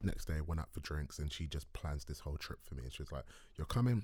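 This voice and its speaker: The speaker has a London accent and vocal fry. The delivery comes at a very fast pace. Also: man. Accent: London English (multicultural London). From South London. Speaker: filmmaker and writer. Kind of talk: casual chat. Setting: studio.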